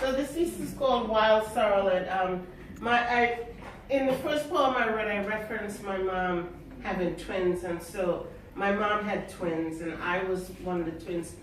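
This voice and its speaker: The speaker moves at a fairly slow pace with ordinary pitch variation over noticeable background noise. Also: woman, medium pitch for a woman. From Trinidad and Tobago, raised in Queens, New York. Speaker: poet. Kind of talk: poetry reading with spoken introductions.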